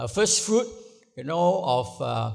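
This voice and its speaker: A man with a Malaysian accent at a moderate pace, very wide pitch swings, and audible room echo. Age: 70s. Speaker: pastor. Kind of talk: sermon. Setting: church. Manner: halting, many fillers.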